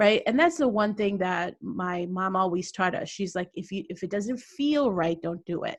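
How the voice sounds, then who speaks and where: A woman's medium-pitched voice at a moderate pace, with ordinary pitch variation, hardly any pauses and an unremarkable speaking voice. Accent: American. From US Midwest, Chicago. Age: 60s. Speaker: business coach. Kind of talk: podcast interview.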